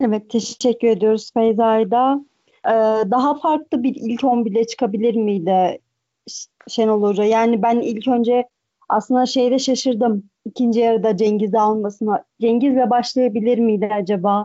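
A woman talks at a moderate pace in an unremarkable speaking voice, pitched fairly high. Her intonation stays fairly even and her loudness very even. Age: 20s. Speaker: football commentator. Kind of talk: casual chat. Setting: podcast recording.

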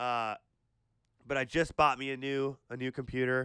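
With an American accent, a man speaks at a moderate pace and medium pitch, his tone animated, bright and sharp, in a dry, close sound with no echo. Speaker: podcast co-host. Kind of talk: casual banter. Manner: animated, excitable.

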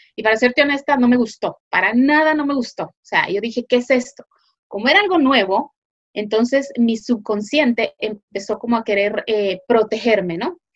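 A woman with a high voice talks at a moderate pace, her pitch varying in an ordinary way. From Guatemala. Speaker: online business consultant. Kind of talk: interview.

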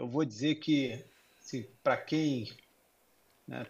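Somewhat breathy, a man speaks at a moderate pace with fairly even intonation. The background is quiet. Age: 50s. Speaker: corporate executive. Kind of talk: interview. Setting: remote video call. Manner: halting, many fillers.

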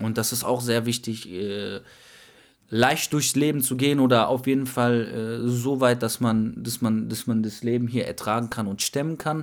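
On a very clean recording with a silent background, a man with a plain, everyday voice talks at a moderate pace and medium pitch with fairly even intonation. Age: 20s. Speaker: podcast co-host. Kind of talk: casual chat.

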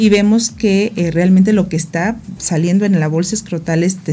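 A woman with an ordinary speaking voice, fairly low pitch, fairly even intonation and a fairly quick pace. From Mexico, Morelos (born in Guerrero). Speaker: gynecologist and reproductive biologist. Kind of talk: radio interview, medical explanation.

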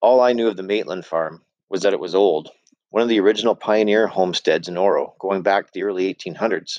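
The speaker uses an unforced reading voice, its pitch varying in an ordinary way, with a quiet background behind it.

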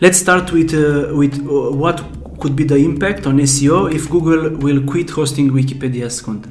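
With a fairly high pitch and ordinary pitch variation, a man speaks at a moderate pace. Noticeable background noise and audible room echo accompany him. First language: Romanian. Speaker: podcast host. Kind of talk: interview.

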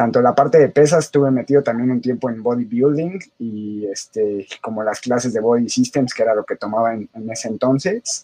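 Recorded with a dry, close sound and no echo, a man uses an ordinary speaking voice at medium pitch with ordinary pitch variation, a moderate pace and hardly any pauses. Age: 30s. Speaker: fitness coach. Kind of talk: casual interview chat.

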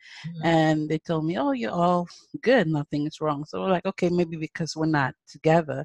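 Her very deep, low pitch comes with an American accent and ordinary pitch variation in this woman's speech. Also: moderate pace. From Nigeria. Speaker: mother sharing infertility story. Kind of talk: casual interview testimony.

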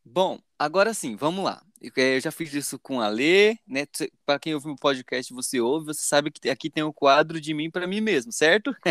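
A man's fairly high voice with lively intonation at a moderate pace, in a very clean recording with a silent background and a dry, close sound with no echo. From Pernambuco, Brazil (raised partly in São Paulo). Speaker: podcast host. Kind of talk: casual podcast chat. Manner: animated.

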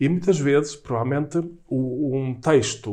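There is music in the background. The talking keeps a moderate pace. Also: man. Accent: Lisbon. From Portugal, Lisbon. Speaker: writer and university professor. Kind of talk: casual interview conversation. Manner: halting, with frequent repetitions.

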